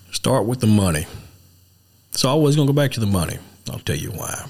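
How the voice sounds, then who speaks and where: A man with an East Texas accent talks with vocal fry and very wide pitch swings. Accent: East Texas drawl. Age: 40s. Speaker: political candidate and trucking business owner. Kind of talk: casual political chat.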